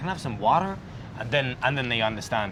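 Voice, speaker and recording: With a British accent and ordinary pitch variation, a man speaks amid noticeable background noise and audible room echo. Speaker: expat vlogger. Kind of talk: casual chat.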